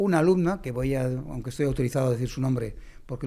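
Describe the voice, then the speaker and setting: A man's fairly high pitch, fairly even intonation and a plain, everyday voice. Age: 60s. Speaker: mathematics professor and educator. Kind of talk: conversational podcast interview.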